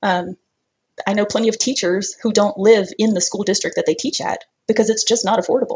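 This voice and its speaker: Moderate pace, long and frequent pauses, ordinary pitch variation, and a somewhat breathy quality. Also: woman. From US South. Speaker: early retiree, personal finance. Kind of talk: interview.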